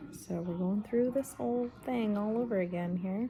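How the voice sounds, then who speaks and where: A quiet woman at medium pitch, with ordinary pitch variation and a moderate pace, over noticeable background noise. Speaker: vlogger. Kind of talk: personal vlog. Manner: quiet, keeping voice down.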